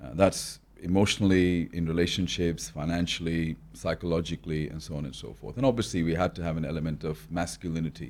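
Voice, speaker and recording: Speaking at a very fast pace, a man uses a very deep, low pitch with vocal fry and big swings in loudness. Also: lively intonation. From born in New Delhi, raised in Australia from early teens. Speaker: business and wealth mentor. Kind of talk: podcast interview. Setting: in-person studio.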